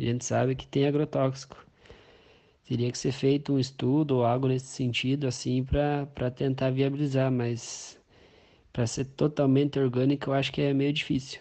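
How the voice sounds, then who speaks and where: A man at medium pitch and a moderate pace, his intonation monotone and flat. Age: 20s. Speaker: farmer. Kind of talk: interview answers.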